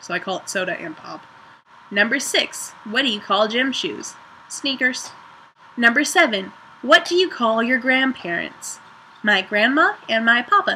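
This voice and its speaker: A woman with a northern US accent speaks in a high pitch, with very wide pitch swings. Her pace is fairly slow, broken by long, frequent pauses. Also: big swings in loudness. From Ohio, northern US. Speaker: vlogger. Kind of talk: casual vlog, accent challenge.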